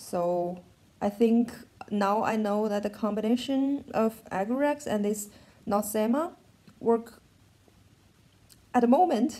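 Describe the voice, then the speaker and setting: With a German accent, the speaker goes at a very slow pace, taking long, frequent pauses, with ordinary pitch variation. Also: woman, fairly high pitch for a woman. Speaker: vlogger. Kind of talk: personal vlog update. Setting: in bed at home. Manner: halting.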